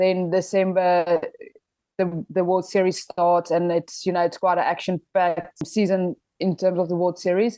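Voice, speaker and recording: A woman speaks in a South African accent at a fairly low pitch. Her intonation stays monotone and flat at a moderate pace. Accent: Afrikaans South African English. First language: Afrikaans. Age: 20s. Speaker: professional rugby player. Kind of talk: podcast interview.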